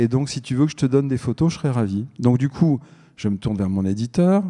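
Over a quiet background, a man speaks with a dark, mellow tone and lively intonation. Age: middle-aged. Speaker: journalist and writer; journalist. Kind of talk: panel discussion. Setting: stage with audience. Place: stage. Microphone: handheld.

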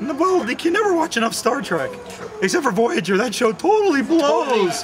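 There is clear background noise as a man speaks at an extremely high pitch. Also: moderate pace. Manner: fast, enthusiastic, slangy.

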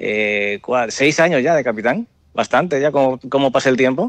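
A man's voice sits fairly high. He talks at a fairly slow pace. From Dominican Republic. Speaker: airline pilot. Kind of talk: interview.

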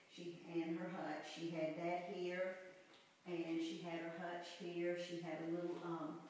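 With strong room echo and light background noise, a woman speaks very slowly at a fairly low pitch with monotone, flat intonation. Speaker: mother giving a home tour. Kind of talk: nostalgic reminiscing house tour, recalling childhood memories. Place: home room. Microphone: camera far.

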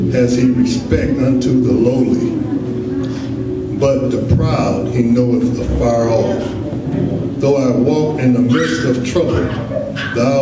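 A man speaks at a very slow pace with long, frequent pauses, over loud background noise and audible room echo. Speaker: scripture reader. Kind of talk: scripture reading. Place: church.

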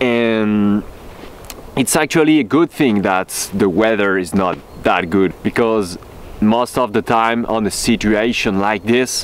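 A man's voice with ordinary pitch variation at a fairly slow pace, in a dry sound with no echo. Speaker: off-road vlogger. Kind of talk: casual vlog chat. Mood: upbeat, thankful. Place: open country. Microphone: phone near.

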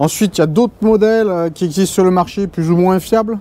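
Here a man talks with fairly even intonation. The sound is dry, with no echo. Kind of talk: tutorial. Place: garage.

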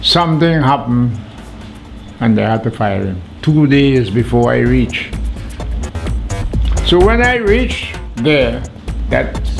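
Clear music plays behind a man with a Vincentian accent. He speaks at a very slow pace. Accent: Vincentian Caribbean English. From St. Vincent and the Grenadines. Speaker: documentary subject. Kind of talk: interview answer. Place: home room.

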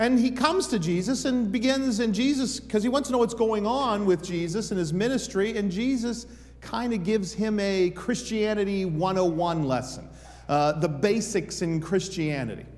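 A man's intonation is lively as he speaks at a moderate pace. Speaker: preacher. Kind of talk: sermon. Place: church.

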